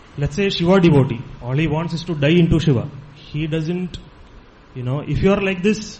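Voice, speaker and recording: This man's speech shows ordinary pitch variation and moves at a moderate pace. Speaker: Vedanta student. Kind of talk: spiritual talk. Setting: ashram hall.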